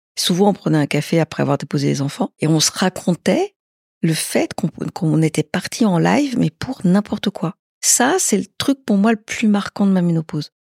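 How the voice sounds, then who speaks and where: A woman talks at a moderate pace with lively intonation. Her voice is somewhat breathy. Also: medium pitch for a woman, dry, close sound with no echo. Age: 60s. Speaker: interviewee sharing personal experience. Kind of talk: casual interview. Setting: at her home.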